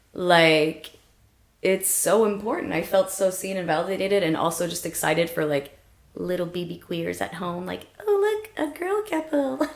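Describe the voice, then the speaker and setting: A woman speaks at a moderate pace and medium pitch with lively intonation. Noticeable background noise runs underneath. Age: 30s. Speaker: dance choreographer. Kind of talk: casual podcast conversation. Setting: in-person podcast recording.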